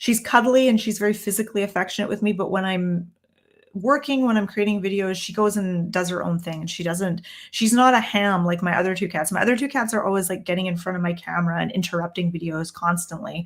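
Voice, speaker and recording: With a Canadian accent, a woman talks at a very fast pace in a medium pitch, somewhat breathy. Her pitch varies in an ordinary way, and the recording is very clean with a silent background. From Canada. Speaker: tarot reader and teacher. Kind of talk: live stream Q&A. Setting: downstairs room, live stream on laptop. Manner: casual, with many fillers.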